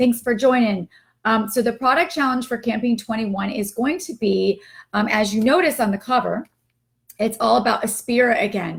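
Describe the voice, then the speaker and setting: A woman's fairly high voice with vocal fry, at a moderate pace with ordinary pitch variation, in a very clean recording with a silent background. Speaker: direct sales team leader. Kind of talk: live stream team meeting. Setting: live stream. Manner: casual, many fillers.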